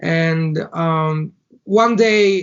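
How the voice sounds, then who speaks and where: A man with a Bulgarian accent speaks at a high pitch with fairly even intonation. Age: 30s. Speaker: entrepreneur. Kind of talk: interview. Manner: halting.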